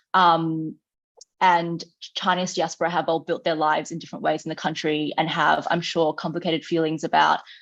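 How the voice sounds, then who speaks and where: Speaking at a fairly quick pace, a woman with a fairly low pitch talks in an Australian accent. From Australia (mostly Sydney). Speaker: communications staffer at a peace organization. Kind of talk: panel talk. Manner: frequent fillers (um).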